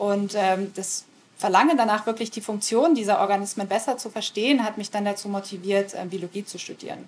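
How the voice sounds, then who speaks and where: A woman's medium-pitched voice with ordinary pitch variation. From rural Germany. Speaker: professor. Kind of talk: interview monologue. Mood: calm, thoughtful.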